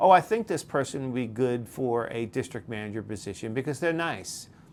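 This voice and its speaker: In a New York accent, a man speaks in an animated tone with lively intonation. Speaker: podcast host, leadership coach. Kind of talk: advice monologue. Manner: conversational with frequent fillers.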